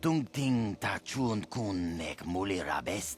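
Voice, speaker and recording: This man uses a put-on character voice with fairly low pitch. He speaks at a fairly slow pace over clear background noise. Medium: video game. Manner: fluent alien babble.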